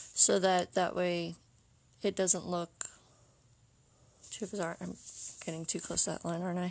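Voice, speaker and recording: Soft-spoken, a woman talks at a moderate pace. Her pitch is fairly low. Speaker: art teacher. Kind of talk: tutorial. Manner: casual.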